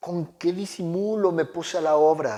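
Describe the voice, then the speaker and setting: At a very slow pace, a man speaks in a high pitch. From Mexico. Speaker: oral storyteller. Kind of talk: dramatic story reading aloud.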